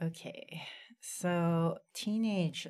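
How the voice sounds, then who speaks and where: Recorded very cleanly against a silent background, a woman speaks in a fairly low pitch. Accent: American. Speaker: librarian and podcast co-host. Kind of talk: casual chat.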